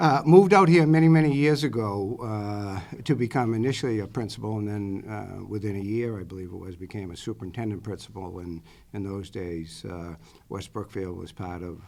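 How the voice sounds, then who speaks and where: In a Boston accent, a man with a fairly low pitch speaks at a moderate pace, his intonation lively and his loudness swinging widely. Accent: Boston accent, some. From Boston area, Massachusetts. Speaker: interim superintendent candidate. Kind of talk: job interview. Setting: school committee meeting. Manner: many filler words, hesitant.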